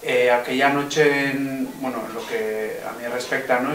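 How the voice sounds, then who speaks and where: Noticeable background noise and audible room echo surround a man speaking at a fairly slow pace. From Navarre, Spain (Pamplona). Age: 20s. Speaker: political activist, defendant in trial. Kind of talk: interview testimony. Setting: filmed interview. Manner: halting, many fillers and repetitions.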